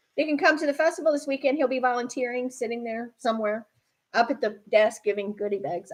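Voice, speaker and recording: A woman speaks very fast with an American accent and a high pitch. Her tone is animated. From upstate New York (Buffalo). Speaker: radio co-host and yoga magazine publisher. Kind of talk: casual chat.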